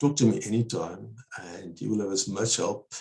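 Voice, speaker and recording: In front of a quiet background, a man speaks with a fairly low pitch, lively intonation and a somewhat breathy voice. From South Africa, Eastern Cape. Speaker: researcher; interview guest. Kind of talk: webinar Q&A discussion. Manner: fast. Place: home room. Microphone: earbuds.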